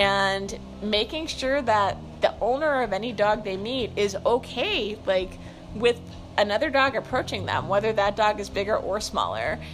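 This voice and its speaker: A woman with an American accent and a fairly high pitch speaks at a moderate pace with ordinary pitch variation, noticeable background noise behind her. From US, suburban (parents from Brooklyn). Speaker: podcaster, dog owner. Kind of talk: casual monologue. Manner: rambling with frequent fillers.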